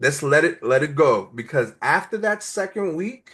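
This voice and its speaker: Against a quiet background, a man with a New York accent speaks at a moderate pace. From New York (Brooklyn). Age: 40s. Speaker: nonprofit entrepreneurship educator. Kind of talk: interview.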